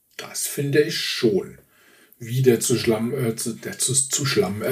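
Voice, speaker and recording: A man speaks at a medium pitch. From Swabia, southern Germany. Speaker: podcast co-host. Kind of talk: casual chat.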